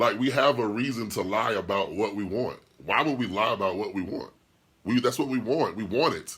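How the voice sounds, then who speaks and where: A man's animated tone at a fairly quick pace, with ordinary pitch variation. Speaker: podcast host and DJ. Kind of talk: casual livestream chat reading comments.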